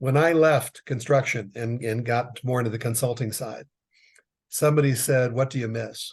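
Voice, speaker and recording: Somewhat breathy and fairly even in intonation, the voice holds a moderate pace over a quiet background. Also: man. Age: 60s. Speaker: business consultant. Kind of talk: casual chat.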